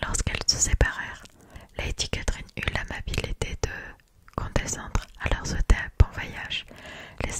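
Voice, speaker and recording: A woman whispers fairly slowly amid noticeable background noise. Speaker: ASMR creator. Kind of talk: audiobook reading. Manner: whispered.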